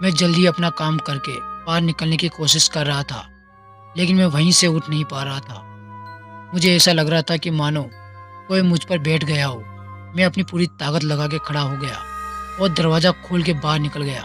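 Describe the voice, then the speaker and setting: There is music in the background as a man talks at a fairly high pitch. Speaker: podcast host. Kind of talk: horror story narration.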